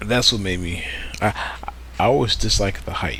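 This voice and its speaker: With very wide pitch swings, the voice races along at a very fast pace amid audible room echo. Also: man. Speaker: gaming video creator. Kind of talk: casual let's play commentary. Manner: halting, repetitive.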